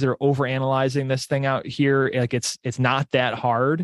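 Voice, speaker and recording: A man with an American accent speaks at a moderate pace in an unremarkable speaking voice, fairly high-pitched for a man, with a dry, close sound and no echo. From New York area, US. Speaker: business owner and real estate investor. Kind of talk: casual interview chat.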